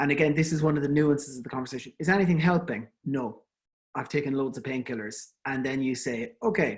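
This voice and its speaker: The speech comes at a very fast pace. It is delivered with an Irish accent. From Ireland. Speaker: endodontist giving a webinar. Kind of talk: lecture. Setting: online webinar. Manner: conversational, with fillers and repetitions.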